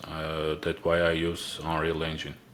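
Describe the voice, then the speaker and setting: A man speaks with an Armenian accent. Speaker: indie game developer. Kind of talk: interview. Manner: halting, many filler sounds.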